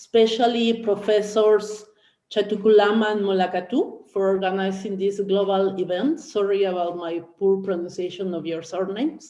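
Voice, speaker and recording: A woman with a Spanish accent speaks at a moderate pace. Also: medium pitch for a woman, ordinary pitch variation. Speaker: professor. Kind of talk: academic presentation. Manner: halting.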